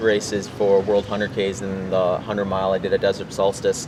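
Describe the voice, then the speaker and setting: A man talks at a fairly quick pace with a strong Midwestern accent. Noticeable background noise runs under his voice. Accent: Midwest accent, strong. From US Midwest, Wisconsin. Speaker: ultrarunner. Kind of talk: interview.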